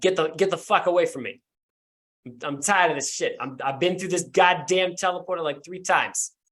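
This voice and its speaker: Growling through a put-on character voice, a man talks at a fairly quick pace with a high pitch. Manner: snarling, furious.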